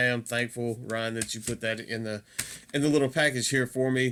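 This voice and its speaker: Speaking fairly quickly in a Southern US accent, a man with a medium-pitched voice is heard against noticeable background noise. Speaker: metal music YouTuber. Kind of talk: casual video review. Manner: hesitant, many fillers.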